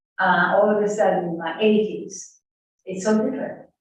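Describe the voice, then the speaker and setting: Audible room echo surrounds a woman as she speaks. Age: 80s+. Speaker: study group participant. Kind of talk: group discussion.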